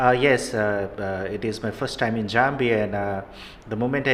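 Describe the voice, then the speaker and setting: Noticeable background noise and audible room echo surround a man speaking at medium pitch and a moderate pace with fairly even intonation. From Nepal. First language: Nepali. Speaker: professor. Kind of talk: interview. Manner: halting.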